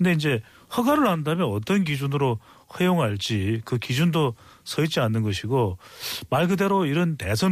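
Very wide pitch swings from a man with a fairly high pitch, at a moderate pace, on a very clean recording with a silent background. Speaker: political commentator. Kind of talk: political commentary. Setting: studio.

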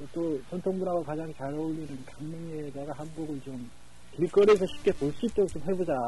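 A man with a fairly high pitch and ordinary pitch variation talks at a fairly quick pace, with big swings in loudness and a plain, everyday voice. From South Korea, Gangneung. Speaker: local internet broadcaster and Facebook page admin. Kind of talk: phone interview.

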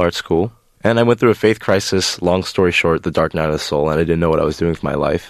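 A man talks in a very deep, low register, and the background is quiet. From US (Rhode Island, moved around states). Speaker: freelancer. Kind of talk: interview. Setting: studio.

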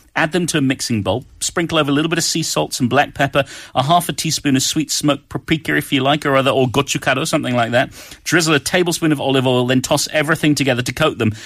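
A man with a British accent and a fairly high pitch talks very fast at a very even loudness. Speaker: radio cooking show co-host. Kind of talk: casual chat. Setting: studio. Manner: animated.

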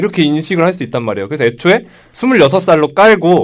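With lively intonation and a fairly high pitch, a man speaks at a very fast pace. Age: 20s. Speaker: podcast co-host. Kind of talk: casual debate. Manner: animated.

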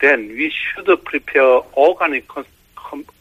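A man talks with a Korean accent. His pace is fairly slow. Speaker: professor of environmental and marine science. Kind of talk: interview. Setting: phone call. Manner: halting.

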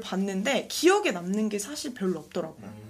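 A woman talks at a moderate pace with lively intonation and an ordinary speaking voice. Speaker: social venture founder, youth career speaker. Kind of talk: interview.

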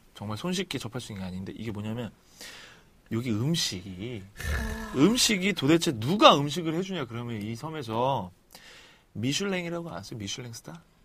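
At a moderate pace, a man talks with long, frequent pauses, very wide pitch swings and big swings in loudness. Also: medium pitch for a man. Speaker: podcast co-host. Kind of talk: casual chat.

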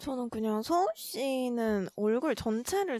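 Very slowly and with lively intonation, a woman speaks in a high voice, the sound dry and close with no echo. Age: 20s. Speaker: podcast co-host. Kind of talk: casual chat.

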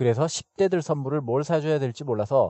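Delivered at a moderate pace, an ordinary speaking voice moves with lively intonation. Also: man. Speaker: podcast host teaching English expressions. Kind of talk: educational narration with repeat-after-me drills.

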